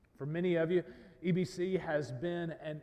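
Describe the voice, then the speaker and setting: This man's voice sits high and moves fairly slowly. Background noise is noticeable. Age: 30s. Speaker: pastor. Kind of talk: sermon.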